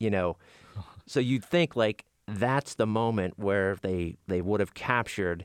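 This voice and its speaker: At a moderate pace, a man with an American accent speaks in an ordinary speaking voice, fairly low in pitch with lively intonation and a dry, close sound with no echo. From western Pennsylvania, Beaver County. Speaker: radio journalist. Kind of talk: interview.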